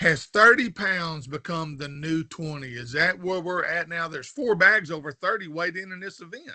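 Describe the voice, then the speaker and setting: Speaking in a Southern US accent at a moderate pace with hardly any pauses, the voice has a bright, sharp tone, ordinary pitch variation and big swings in loudness. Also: man, high pitch for a man. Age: 60s. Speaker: fishing show host. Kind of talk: interview.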